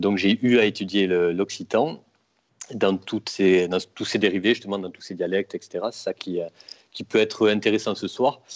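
Against a quiet background, a man speaks at a fairly slow pace with a fairly low pitch and fairly even intonation. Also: dry, close sound with no echo. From Toulouse, southwest France. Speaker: bookseller, Occitan studies graduate. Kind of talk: casual chat. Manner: halting, many hesitations.

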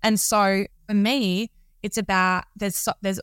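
Recorded very cleanly against a silent background, with a dry, close sound and no echo, a woman speaks in a normal speaking voice at a medium pitch with ordinary pitch variation. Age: 30s. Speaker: entrepreneur and self-love coach. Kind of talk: podcast interview.

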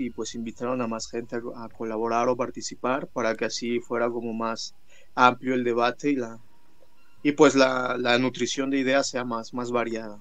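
Music plays in the background as a man speaks. His intonation is monotone and flat, his pace moderate. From Mixteca Alta, Oaxaca, Mexico. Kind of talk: interview.

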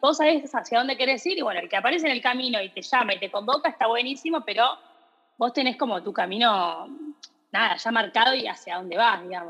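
A woman's speech races along very fast, her intonation lively. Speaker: podcast host, shoe brand founder. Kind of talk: casual interview. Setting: video call.

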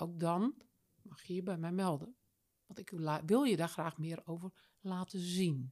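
Fairly low-pitched with a dark, mellow tone, a woman speaks at a fairly slow pace with long, frequent pauses. Her loudness swings widely while her pitch varies in an ordinary way, and the sound is dry and close with no echo. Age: 60s. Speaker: business coach. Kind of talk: interview. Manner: animated.

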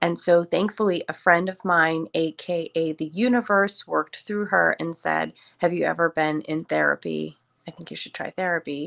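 A woman with an American accent at a moderate pace, in a very clean recording with a silent background and a dry, close sound with no echo. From Chicago. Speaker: yoga teacher and wellness mentor. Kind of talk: casual interview chat.

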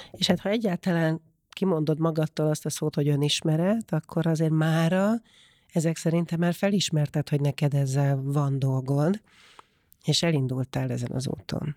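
A woman with a very deep, low pitch and a dark, mellow tone speaks at a moderate pace with ordinary pitch variation, recorded dry and close with no echo on a very clean recording with a silent background. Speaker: podcast host. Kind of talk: interview.

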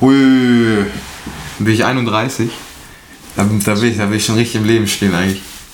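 A man at medium pitch and moderate pace, with noticeable background noise and audible room echo. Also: long, frequent pauses. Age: 20s. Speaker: videographer and photographer. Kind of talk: casual chat.

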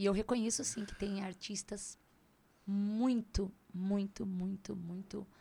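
Somewhat breathy and dark, mellow in tone, a woman speaks at a very slow pace with fairly even intonation. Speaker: reborn doll maker and shop owner. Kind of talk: interview.

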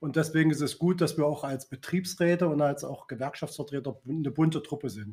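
A man talks at a fairly quick pace in a fairly high, somewhat breathy voice with ordinary pitch variation. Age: 50s. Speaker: works council chair and trade unionist. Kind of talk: casual chat.

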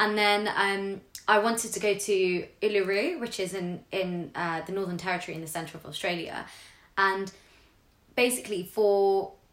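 Speaking with a London accent at a moderate pace, the voice keeps fairly even intonation but has big swings in loudness. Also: woman, medium pitch for a woman. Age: 20s. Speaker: public sector worker. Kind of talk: casual chat.

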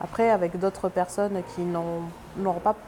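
There is noticeable background noise. A woman speaks with fairly even intonation. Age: 20s. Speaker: laboratory technician, feminist. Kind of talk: interview testimony. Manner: hesitant, many fillers and repetitions.

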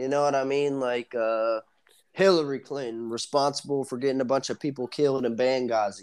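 Against a quiet background, a man of medium pitch talks at a fairly quick pace in an animated tone. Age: 20s. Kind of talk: casual banter podcast with crude humor. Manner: animated, joking.

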